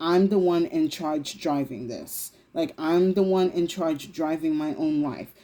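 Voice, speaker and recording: This woman's voice is fairly low in pitch, with a dark, mellow tone and lively intonation. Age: 30s. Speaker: tarot reader. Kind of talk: tarot reading to camera. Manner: casual, filler-heavy.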